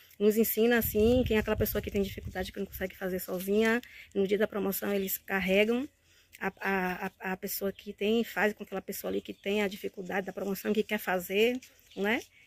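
Dry and close with no echo, the clip has a woman talking at a fairly quick pace in a medium pitch with monotone, flat intonation. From Bahia, Brazil. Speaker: course student. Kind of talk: testimonial. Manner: halting.

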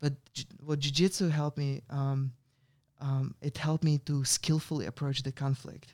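A man with a Russian accent speaks at a moderate pace with a fairly high pitch, monotone, flat intonation and a somewhat breathy quality, on a very clean recording with a silent background. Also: dry, close sound with no echo. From Russia (Ural region, near Perm). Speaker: meditation and yoga teacher, former monk. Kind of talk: interview. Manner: halting.

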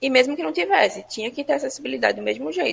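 A woman's voice with vocal fry. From Ceará, Brazil (Fortaleza). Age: 20s. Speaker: lawyer. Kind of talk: interview testimony.

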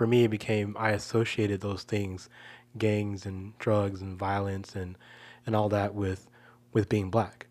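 Someone with an American accent speaks at a fairly slow pace in a flat, monotone way, on a very clean recording with a silent background. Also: man, fairly low pitch for a man. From Chicago suburbs, US Midwest. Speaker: podcast co-host. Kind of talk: casual chat. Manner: halting, many repeated words.

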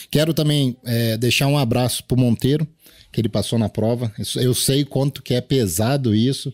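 In an unremarkable speaking voice, a man talks at a moderate pace and medium pitch with fairly even intonation and very even loudness, on a very clean recording with a silent background and a dry, close sound with no echo. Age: 40s. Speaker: day trader and trading mentor. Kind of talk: casual chat.

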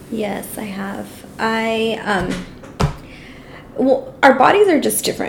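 A woman with a Californian accent speaks at a very slow pace with big swings in loudness. Noticeable background noise and audible room echo are heard. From Los Angeles, Salvadoran family. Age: 30s. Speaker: podcast co-host. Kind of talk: casual chat.

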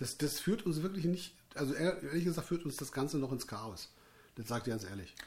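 Speaking at a fairly quick pace, a man with a fairly high pitch and vocal fry swings his pitch very widely. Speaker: musician and podcast host. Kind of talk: casual chat. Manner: loud.

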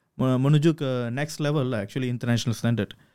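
The man's voice has a dark, mellow tone. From Malaysia, Kedah (Sungai Petani). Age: 30s. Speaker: film director. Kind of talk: interview.

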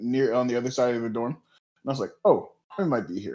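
A man with an ordinary speaking voice holds a medium pitch, shows ordinary pitch variation, and moves at a moderate pace. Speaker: podcast co-host. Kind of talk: casual chat.

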